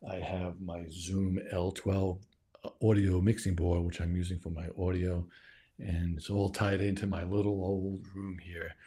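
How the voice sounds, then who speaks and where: A man speaks at a fairly slow pace with a very deep, low pitch and a dark, mellow tone. His delivery is monotone and flat, and somewhat breathy. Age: 60s. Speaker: video producer and podcaster. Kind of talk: casual video introduction. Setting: home studio. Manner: casual, halting.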